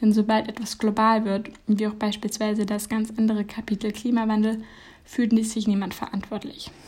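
Somewhat breathy, a woman speaks at a fairly high pitch and a moderate pace. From Germany. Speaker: podcaster. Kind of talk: reflective essay monologue.

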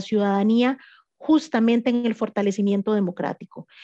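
A woman speaks at a fairly high pitch in a dark, mellow tone. The sound is dry and close with no echo, over a quiet background. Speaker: political scientist, researcher. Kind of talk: radio interview.

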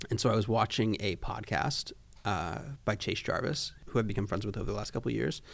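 Speaking at a fairly quick pace, a man with an American accent has a fairly low pitch, ordinary pitch variation and vocal fry. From Florida. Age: 20s. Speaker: photographer and creative director. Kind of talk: casual chat.

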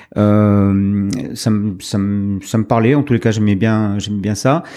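Fairly low in pitch and dark and mellow in tone, a man talks with fairly even intonation in a very clean recording with a silent background. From France, Médoc (Gironde). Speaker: skipper and business owner. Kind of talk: interview. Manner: halting, many hesitations.

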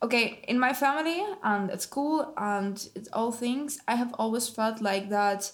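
Speaking at a fairly slow pace with hardly any pauses, a woman with a Russian accent uses a fairly high pitch and ordinary pitch variation. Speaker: university student podcast host. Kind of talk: casual chat.

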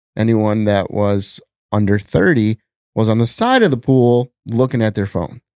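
A man uses an ordinary speaking voice at medium pitch, moderate pace and ordinary pitch variation. The recording is very clean with a silent background, and the sound is dry and close with no echo. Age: 40s. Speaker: social media comedian and business owner. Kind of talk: casual chat. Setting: in-person home studio.

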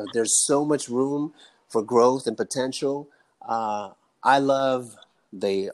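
A man with an American accent and an unremarkable speaking voice, at a fairly slow pace with ordinary pitch variation. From Chicago, South Side. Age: 50s. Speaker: custom clothier. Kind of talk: casual interview.

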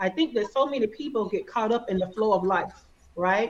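A woman with an Alabama accent and a fairly high pitch. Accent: Alabama Southern. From Alabama, US South. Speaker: business operations consultant. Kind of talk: casual interview.

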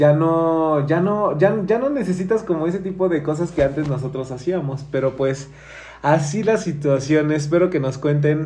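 A man with a Mexican accent speaks at a fairly high pitch with ordinary pitch variation. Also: moderate pace. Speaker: podcast host. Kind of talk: casual chat.

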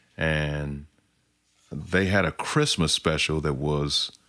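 He speaks with an American accent and a very deep, low pitch. The man's pace is very slow. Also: very clean recording, silent background. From Oklahoma, US. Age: 40s. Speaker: singer-songwriter and army veteran. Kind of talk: casual interview. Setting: recorded at his home.

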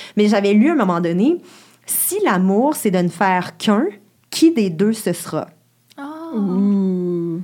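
With long, frequent pauses and a very slow pace, a woman speaks at a medium pitch in a dark, mellow tone with very wide pitch swings. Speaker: sexologist. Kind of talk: casual chat.

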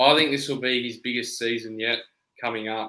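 Bright and sharp in tone, a man's medium-pitched voice carries an Australian accent. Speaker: podcast co-host. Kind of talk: casual chat.

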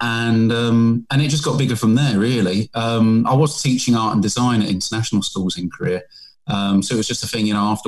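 A man speaks with a British accent at a fairly quick pace. His pitch is medium, with ordinary pitch variation. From England. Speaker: painter. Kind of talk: casual interview.

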